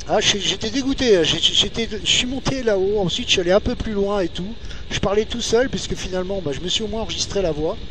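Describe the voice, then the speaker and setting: The pitch moves in an ordinary way. Room echo is audible, and background noise is noticeable. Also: man, high pitch for a man, fairly quick pace. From northern France (Nord-Pas-de-Calais). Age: 40s. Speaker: motorcycle vlogger. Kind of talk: casual monologue while riding. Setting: riding a motorcycle outdoors. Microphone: recorded via GPS headset mic, poor sound.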